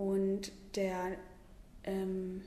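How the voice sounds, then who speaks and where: A woman's voice with noticeable background noise and audible room echo. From Lower Saxony, Germany (Hildesheim). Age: 20s. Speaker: cycling tour fundraiser. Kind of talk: interview.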